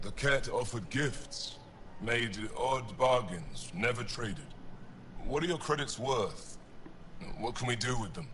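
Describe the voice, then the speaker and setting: A man's put-on character voice, fairly slow, with long, frequent pauses and clear background noise. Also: medium pitch for a man. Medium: video game. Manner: curt, guarded.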